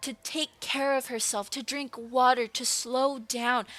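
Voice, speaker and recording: Loud and at a very slow pace, a woman with a high pitch speaks over music in the background, the sound dry and close with no echo. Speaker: art content creator and vlogger. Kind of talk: personal storytime monologue. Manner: emotional, halting at times.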